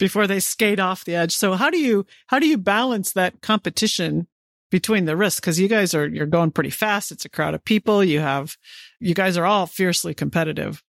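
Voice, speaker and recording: A woman with an American accent talks fairly quickly at a medium pitch with ordinary pitch variation, in an unremarkable speaking voice. The recording is very clean with a silent background and a dry, close sound with no echo. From St. Louis area, US Midwest. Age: 50s. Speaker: podcast host, retired astronaut. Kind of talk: interview.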